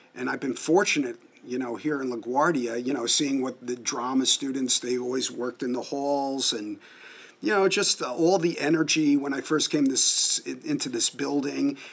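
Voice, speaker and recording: Someone with an American accent speaks with ordinary pitch variation over noticeable background noise. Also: man, fairly high pitch for a man, moderate pace. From Long Island, New York. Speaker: music teacher. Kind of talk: interview. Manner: halting.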